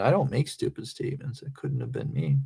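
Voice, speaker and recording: A man talks with a slight Southern accent. Vocal fry runs through his voice. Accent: slight Southern-sounding accent online. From North Central Pennsylvania. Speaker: live streamer. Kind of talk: casual live stream chat.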